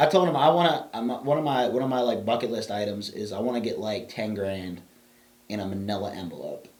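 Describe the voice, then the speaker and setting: An animated man with a medium pitch and lively intonation talks at a fairly quick pace, with audible room echo. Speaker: podcast co-host. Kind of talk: casual chat. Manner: loud.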